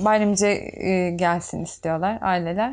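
The background stays quiet. A woman speaks fairly slowly. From Turkey, Çanakkale (Bayramiç); Turkey. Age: 20s. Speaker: tailor; interviewee. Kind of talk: documentary interview. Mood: reflective, somewhat emotional. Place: workshop.

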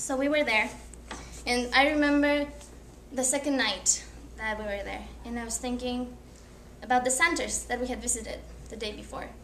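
With audible room echo and light background noise, a woman talks at a moderate pace, taking long, frequent pauses as her loudness swings widely. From Ecuador. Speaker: college student; presenter. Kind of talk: class presentation. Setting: classroom. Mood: earnest, reflective. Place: classroom. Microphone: camera far.

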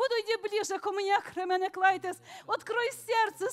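At an extremely high pitch, a woman speaks at a moderate pace with fairly even intonation. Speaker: congregant. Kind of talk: prophecy in tongues. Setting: church. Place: church.

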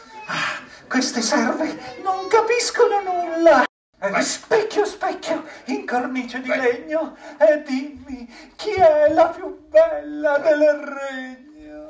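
A cartoonish character voice speaks at a high pitch and a very slow pace. There is slight echo. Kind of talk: puppet theatre comic villainy for children. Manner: imperious, shrill, raging.

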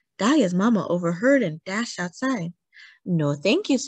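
A natural reading voice with lively intonation stands out against the quiet background.

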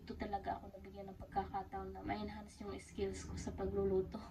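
Noticeable background noise sits behind the recording. A woman speaks at a fairly quick pace. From Philippines. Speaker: vlogger and domestic helper. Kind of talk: casual vlog narration. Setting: employer's home kitchen.

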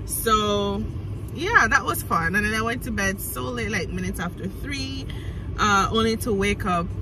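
A woman's voice in a dry sound with no echo, against noticeable background noise. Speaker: vlogger. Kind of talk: casual vlog chat. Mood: cheerful, laughing. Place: car. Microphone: phone near.

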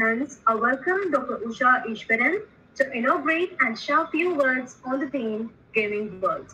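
Amid light background noise, a woman uses a raised, projected voice at a high pitch and a fairly slow pace. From India. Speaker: student event emcee. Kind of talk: formal introduction. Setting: video call. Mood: formal, welcoming. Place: home room. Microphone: webcam.

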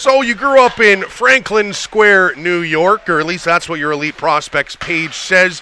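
A man speaks at a fairly slow pace in a high pitch with ordinary pitch variation. Noticeable background noise runs underneath. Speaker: sports play-by-play broadcaster and podcast host. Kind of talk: casual interview. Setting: studio.

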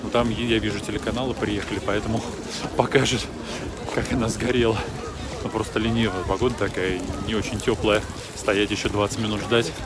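A man speaks at a fairly quick pace over loud background noise. The sound is dry with no echo. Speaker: vlogger. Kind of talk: casual vlog chat. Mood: wry, joking. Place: open country. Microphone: phone near.

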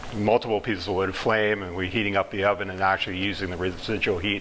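Very fast, monotone, flat delivery over light background noise. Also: man. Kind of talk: interview answer. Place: kitchen.

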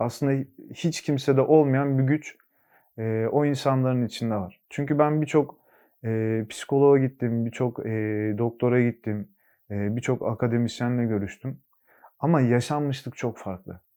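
A man at medium pitch talks at a fairly slow pace with fairly even intonation. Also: very clean recording, silent background. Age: 20s. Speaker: recovering addict. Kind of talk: testimony. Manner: hesitant, many filler sounds.

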